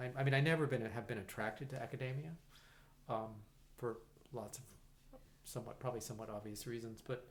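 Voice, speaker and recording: Audible room echo surrounds a man who talks at a very fast pace with long, frequent pauses, his somewhat breathy voice at medium pitch with fairly even intonation. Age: 60s. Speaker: musician and conductor. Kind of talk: casual interview chat. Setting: in-person podcast recording. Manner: halting, many fillers and restarts.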